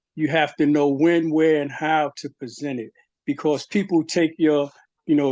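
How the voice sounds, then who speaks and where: An ordinary speaking voice from a man, fairly high in pitch, with a dry, close sound with no echo and a quiet background. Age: 60s. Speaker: webinar attendee, HIV survivor. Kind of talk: webinar Q&A comment.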